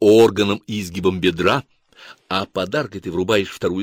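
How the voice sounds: A natural reading voice with fairly even intonation, over a quiet background.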